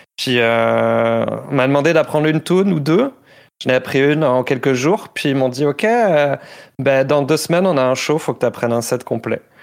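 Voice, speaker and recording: Recorded very cleanly against a silent background, a man speaks at a moderate pace in a fairly high voice with ordinary pitch variation. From southern France, Toulouse area. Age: 30s. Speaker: metal band vocalist. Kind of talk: casual interview chat.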